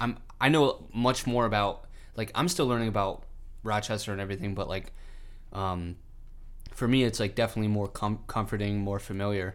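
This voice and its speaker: A man with a fairly low voice and ordinary pitch variation talks at a fairly quick pace, leaving long, frequent pauses. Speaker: podcast host. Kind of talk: casual chat. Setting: studio. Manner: casual, laughs often.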